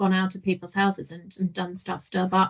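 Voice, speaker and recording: Somewhat breathy, a woman speaks at a fairly quick pace. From Germany. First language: German. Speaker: digital marketing manager. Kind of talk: podcast interview.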